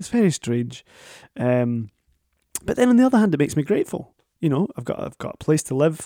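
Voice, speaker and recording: A man with a Scottish accent and a dark, mellow tone speaks at a moderate pace in a dry, close sound with no echo. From Scotland. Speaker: podcast host. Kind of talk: casual interview chat. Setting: remote recording, home.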